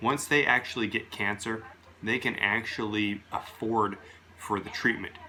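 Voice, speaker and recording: A man talks at a medium speed, keeping his intonation fairly even, while background noise is clearly audible. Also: medium pitch for a man. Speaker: video blogger. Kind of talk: casual monologue rant. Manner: slurs words at times; loud.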